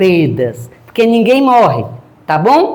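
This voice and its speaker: A woman's pitch swings very widely. Room echo is audible around her. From Northeast Brazil, Piauí. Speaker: grief counselor and spiritist lecturer. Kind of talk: lecture. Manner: animated, joking.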